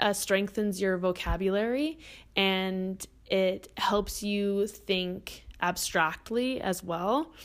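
Speaking at a very slow pace with a Canadian accent, a woman is heard on a very clean recording with a silent background. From British Columbia, Canada. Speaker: podcast host. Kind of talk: casual solo monologue.

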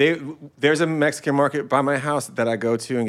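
Very fast pace from a man, his pitch varying in an ordinary way. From Southern California. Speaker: podcast co-host. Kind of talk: casual chat.

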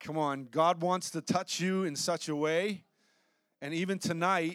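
Using ordinary pitch variation, a man speaks at a fairly high pitch. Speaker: pastor. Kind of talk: sermon. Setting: church. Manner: loud.

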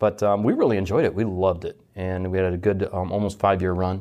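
Speaking at a very fast pace, a man with a Midwestern American accent has a very deep, low pitch. His intonation is monotone and flat against a quiet background. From US Midwest, Detroit. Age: 40s. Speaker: fintech executive, former submariner. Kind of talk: interview.

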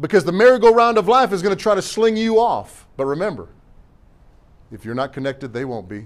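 In a very clean recording with a silent background, a man talks at a high pitch and a fairly quick pace. His pitch swings very widely and his loudness shifts a lot. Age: 50s. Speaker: pastor. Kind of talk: Sunday sermon preached to a responsive congregation, call-and-response exhortation. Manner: folksy, punchy conversational preaching with slangy asides and repeated refrains; emphatic, hammering repetition with stumbles and restarts.

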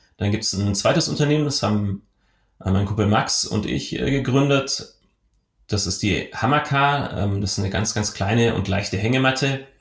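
Somewhat breathy, a man talks at a moderate pace with a fairly low pitch and ordinary pitch variation. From southwestern Germany (Rottweil, Baden-Württemberg). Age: 30s. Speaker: entrepreneur. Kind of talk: podcast interview. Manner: hesitant, frequent fillers.

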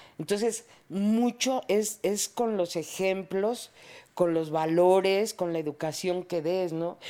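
Very slowly and at a medium pitch, a woman speaks in a dark, mellow tone with ordinary pitch variation. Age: 60s. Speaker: mother of a podcast host. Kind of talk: casual chat.

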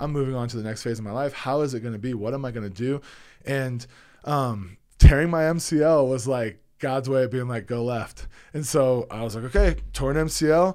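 A man talks at a fairly quick pace in an ordinary speaking voice. His pitch is medium, with ordinary variation. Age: 40s. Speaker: former college football lineman and cannabis advocate. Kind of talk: casual interview chat. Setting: studio.

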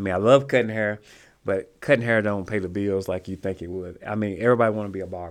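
A man with a Southern US accent speaks very fast at a fairly low pitch, his intonation fairly even but his loudness swinging widely. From Mississippi. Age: 50s. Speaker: small business owner. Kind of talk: casual chat.

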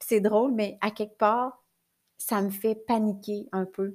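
A woman with a Quebec accent, fairly high pitch, fairly even intonation and a fairly slow pace, in a very clean recording with a silent background. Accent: Québécois French. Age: 40s. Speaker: life coach and podcaster. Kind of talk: personal monologue. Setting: recording at her computer.

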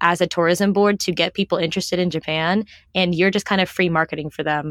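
A woman speaks in an unremarkable speaking voice at a medium pitch and a fairly quick pace. The recording is very clean, dry and close, with no echo and a silent background. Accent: American. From US East Coast, Washington D.C. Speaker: travel blogger. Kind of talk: casual chat.

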